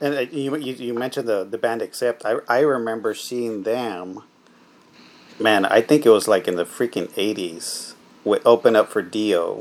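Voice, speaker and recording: Medium-pitched male speech in a plain, everyday voice, moderately paced, with ordinary pitch variation. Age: 40s. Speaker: music interviewer. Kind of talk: casual interview.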